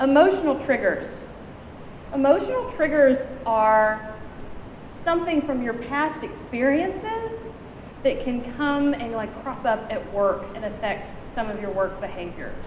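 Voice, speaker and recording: A loud woman with a high pitch talks at a fairly slow pace, her voice making very wide pitch swings and broken by long, frequent pauses. Audible room echo and noticeable background noise fill the recording. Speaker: conference presenter. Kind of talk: conference talk.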